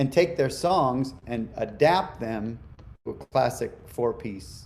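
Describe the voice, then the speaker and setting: Speaking very slowly, a man with an American accent uses lively intonation at a medium pitch. Vocal fry runs through his voice. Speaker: musician. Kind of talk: interview.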